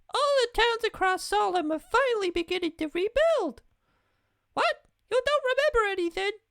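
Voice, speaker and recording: A man's put-on character voice, squeaky and extremely high, with long, frequent pauses. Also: moderate pace. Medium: game stream. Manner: bright, sweet.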